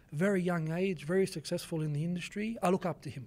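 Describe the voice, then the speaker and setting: A man's high-pitched voice at a very fast pace, with an Australian accent. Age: 20s. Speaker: fitness coach and content creator. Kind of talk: podcast interview answer.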